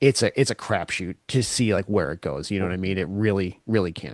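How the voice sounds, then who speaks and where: In a quiet background, a man with a fairly low pitch and vocal fry sounds dry and close, with no echo. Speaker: interviewer, podcast host. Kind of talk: casual interview talk.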